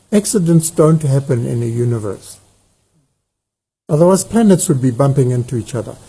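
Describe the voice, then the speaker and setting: A man's fairly high, somewhat breathy voice with a dark, mellow tone and lively intonation, fairly quick in pace yet with long, frequent pauses. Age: 70s. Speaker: farmer. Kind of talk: conversational interview.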